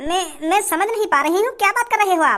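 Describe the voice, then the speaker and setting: In a squeaky, cartoonish character voice with an extremely high pitch, a woman races along very fast with lively intonation and very even loudness. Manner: bewildered, mild.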